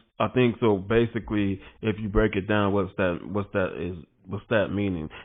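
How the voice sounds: At a moderate pace, a man talks with a fairly low pitch and fairly even intonation.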